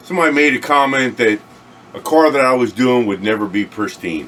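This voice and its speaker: Noticeable background noise sits behind a man speaking. He keeps a moderate pace with lively intonation. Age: 60s. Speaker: car restorer and online video host. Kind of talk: casual monologue to camera. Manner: halting, many fillers.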